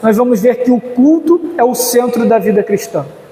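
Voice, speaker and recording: A man speaks at a moderate pace in an extremely high pitch. Noticeable background noise runs underneath. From Rio de Janeiro, Brazil. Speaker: pastor. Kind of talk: conference lecture. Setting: church conference. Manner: hesitant fillers.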